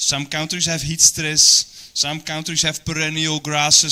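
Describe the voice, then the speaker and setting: With a Dutch accent, a man speaks at a fairly high pitch and a moderate pace over noticeable background noise. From Netherlands. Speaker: animal nutritionist. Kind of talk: training presentation. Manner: hesitant, many fillers.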